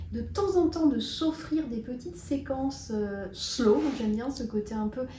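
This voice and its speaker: Against noticeable background noise, a woman speaks fairly slowly in a high pitch with lively intonation. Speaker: personal development video co-host. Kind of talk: casual discussion.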